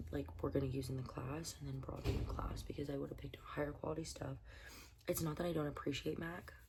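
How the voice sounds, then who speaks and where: A woman with an American accent talks at a very fast pace, with audible echo in the room. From Southern California, San Diego. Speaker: beauty vlogger. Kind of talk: casual chat. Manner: rambling, animated.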